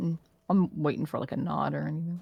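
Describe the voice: A woman talks at a fast pace and a low pitch, her fairly even delivery showing vocal fry and a slightly husky edge.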